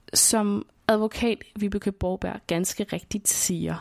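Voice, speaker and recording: On a very clean recording with a silent background, a woman speaks at medium pitch with ordinary pitch variation in a dry, close sound with no echo. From Denmark, southern Funen (Svendborg). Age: 20s. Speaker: radio documentary maker. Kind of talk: scripted narration.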